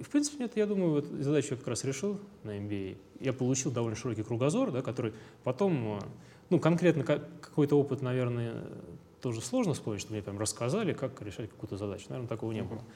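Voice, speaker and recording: At a very fast pace and medium pitch, a man speaks with lively intonation. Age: 20s. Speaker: company founder. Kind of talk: interview.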